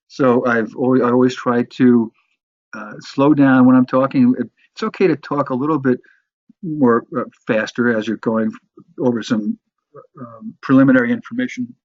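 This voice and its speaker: A medium-pitched male voice with big swings in loudness and long, frequent pauses. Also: ordinary pitch variation. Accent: American. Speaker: sales and marketing instructor. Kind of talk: lecture. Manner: fast; halting.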